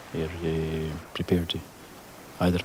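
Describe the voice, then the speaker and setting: A man's very deep, low voice in a Scottish Highland accent, at a moderate pace, with noticeable background noise. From Scottish Highlands. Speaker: crofter. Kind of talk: interview answer.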